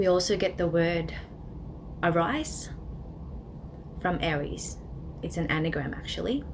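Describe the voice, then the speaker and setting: In a room with audible echo and noticeable background noise, a woman with a fairly low pitch speaks at a moderate pace with fairly even intonation. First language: Tagalog. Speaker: astrology presenter. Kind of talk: educational presentation. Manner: casual with frequent fillers.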